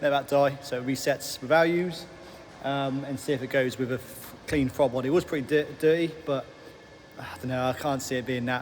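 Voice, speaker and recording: Over noticeable background noise, a man with an English accent speaks fairly quickly at a fairly high pitch with fairly even intonation. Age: 30s. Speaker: self-improvement vlogger. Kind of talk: casual vlog. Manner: halting.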